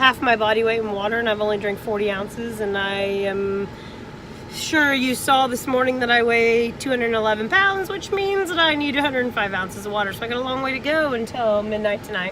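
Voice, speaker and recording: Lively intonation and a fairly quick pace come through audible room echo and noticeable background noise. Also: woman, fairly high pitch for a woman. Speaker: vlogger. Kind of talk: casual vlog.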